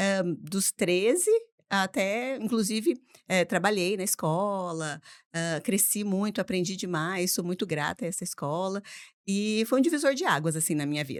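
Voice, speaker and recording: With an unremarkable speaking voice, a woman talks at a moderate pace and medium pitch, her intonation lively, on a very clean recording with a silent background. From Brazil, Mococa (São Paulo state). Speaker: English teacher and school owner. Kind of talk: casual podcast interview.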